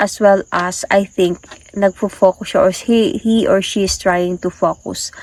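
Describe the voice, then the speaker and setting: A woman is speaking. Her pace is very slow. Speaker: tarot reader. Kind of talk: tarot reading. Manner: casual, hesitant with fillers.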